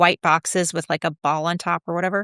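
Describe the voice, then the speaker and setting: A woman with an American accent speaks at a moderate pace in a fairly low pitch with fairly even intonation. The very clean recording has a silent background and a dry, close sound with no echo. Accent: Georgia accent, comes out occasionally. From US South, Georgia (Atlanta). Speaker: interior designer. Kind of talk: casual interview chat.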